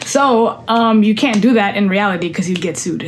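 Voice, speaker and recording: Amid noticeable background noise and audible room echo, a woman speaks at a medium pitch and a fairly quick pace with ordinary pitch variation. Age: 20s. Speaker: content creator and singer. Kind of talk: casual vlog chat. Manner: casual, rambling with fillers.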